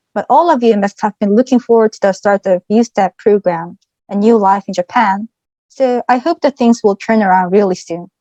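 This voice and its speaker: A woman speaks with a Korean accent at a fairly high pitch, with ordinary pitch variation and a dark, mellow tone. The sound is dry and close, with no echo. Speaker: former exchange student. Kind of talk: presentation.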